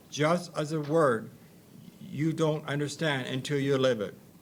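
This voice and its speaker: A man with a fairly high voice speaks at a fairly slow pace with fairly even intonation, amid audible room echo. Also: long, frequent pauses. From Ontario, Canada. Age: 60s. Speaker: institution survivor and artist. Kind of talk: reading aloud a personal testimony. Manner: halting, repeating words.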